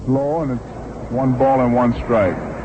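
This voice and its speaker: Noticeable background noise sits behind a man at medium pitch. He talks at a fairly slow pace with fairly even intonation. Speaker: baseball radio play-by-play announcer. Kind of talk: sports radio broadcast commentary.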